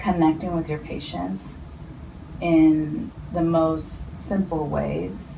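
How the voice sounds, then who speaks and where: The voice carries a Spanish accent. There is audible room echo and noticeable background noise. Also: woman. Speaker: healthcare professional. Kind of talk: interview. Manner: hesitant, many fillers.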